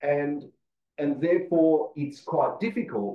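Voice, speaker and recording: Here a man speaks with an Australian accent. His pitch shows ordinary variation. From Australia, Perth (Western Australia). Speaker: agronomist, conference presenter. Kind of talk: conference presentation. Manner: halting, many fillers.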